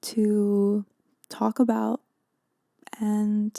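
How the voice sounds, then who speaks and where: Someone is whispering, the sound dry and close with no echo. The recording is very clean, with a silent background. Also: woman. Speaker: podcast host. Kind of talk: podcast monologue. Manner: whispered; soft-spoken.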